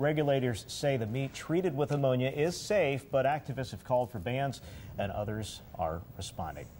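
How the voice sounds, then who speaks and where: With an American accent, a man speaks at a moderate pace in a medium, somewhat breathy voice with lively intonation. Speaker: television meteorologist and morning show co-host. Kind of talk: local TV morning show weather forecast and banter.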